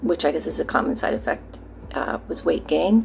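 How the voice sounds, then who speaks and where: A woman speaks with music in the background. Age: 60s. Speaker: patient giving a treatment testimonial. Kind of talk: testimony. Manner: halting, many fillers.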